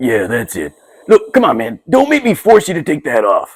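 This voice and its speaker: Putting on a character voice, a man drawls at a moderate pace in a high pitch. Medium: comedy sketch. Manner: casual, drawling, full of fillers.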